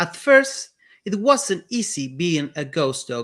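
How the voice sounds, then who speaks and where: Raised and projected, the voice has a bright, sharp tone and an Argentine accent. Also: man. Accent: Argentinian. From Argentina. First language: Spanish. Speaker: children's book author. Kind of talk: reading aloud.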